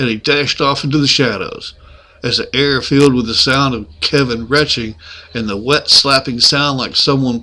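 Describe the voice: Someone reads aloud in a plain way.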